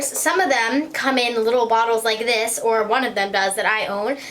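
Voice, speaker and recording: At a moderate pace, a woman with a high pitch and ordinary pitch variation talks over noticeable background noise. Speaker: beauty vlogger. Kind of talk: makeup tutorial. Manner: slurred speech; casual, hesitant with ums.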